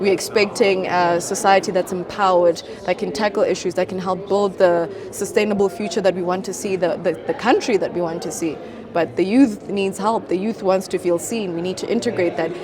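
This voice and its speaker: A woman with a South African accent speaks over noticeable background noise. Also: medium pitch for a woman, fairly quick pace. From South Africa, Limpopo. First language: Venda. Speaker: model, beauty pageant titleholder, mental health advocate. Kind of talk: interview answer.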